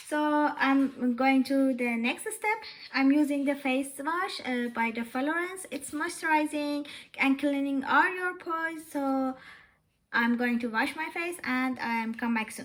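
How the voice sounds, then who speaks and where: The speaker is a woman with a high voice. She talks at a fairly slow pace. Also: ordinary pitch variation. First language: not English. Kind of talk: casual talk to camera. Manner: hesitant, many fillers.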